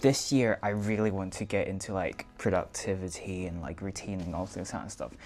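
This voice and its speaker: A man talks with music playing in the background. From Macau. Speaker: vlogger. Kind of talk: casual vlog talk.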